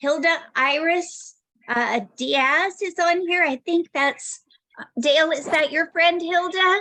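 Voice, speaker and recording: A raised, projected voice at a very slow pace, with ordinary pitch variation. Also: woman, extremely high pitch for a woman. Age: 60s. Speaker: essential oils wellness presenter. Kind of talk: product testimony on a video call. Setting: video call. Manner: casual, hesitant with fillers.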